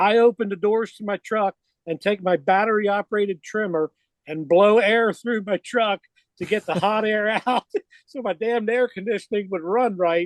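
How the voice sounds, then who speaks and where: The recording has a dry, close sound with no echo. A man with a high pitch talks at a moderate pace using fairly even intonation. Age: 60s. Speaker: lawn care business owner. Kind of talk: casual chat.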